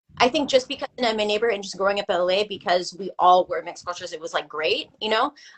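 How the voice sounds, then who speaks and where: Talking very fast with hardly any pauses, a woman with a Californian accent has a medium pitch, ordinary pitch variation and big swings in loudness. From US West Coast, Los Angeles. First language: Filipino language. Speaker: artist and photographer. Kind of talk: casual podcast interview. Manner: casual, heavy filler words.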